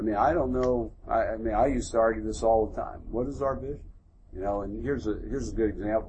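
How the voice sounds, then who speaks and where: A man with an American accent talks very fast in a somewhat breathy, medium-pitched voice. His intonation stays fairly even amid audible room echo. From US Northeast, Philadelphia. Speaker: military general. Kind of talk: onstage interview before a live audience.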